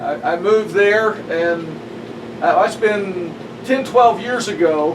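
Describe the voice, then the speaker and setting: Amid noticeable background noise, a man with a high pitch speaks at a very slow pace with lively intonation. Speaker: pastor. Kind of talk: casual conversation.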